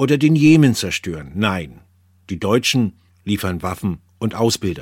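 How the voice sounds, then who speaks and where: The man has an ordinary speaking voice with lively intonation, delivered at a moderate pace on a very clean recording with a silent background. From Bavaria, Germany. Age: 50s. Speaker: correspondent and former radio presenter. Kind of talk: personal essay reading.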